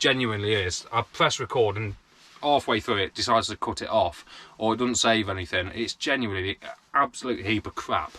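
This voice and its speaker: A man with a British accent talks very fast in a bright, sharp tone. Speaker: vlogger. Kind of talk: casual chat. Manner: sounds angry.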